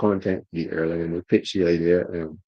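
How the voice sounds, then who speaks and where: A man's very deep, low voice with a dark, mellow tone, very fast pace, and quiet background. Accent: Barbadian. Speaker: motorsport journalist. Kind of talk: casual chat. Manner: halting, repeats words.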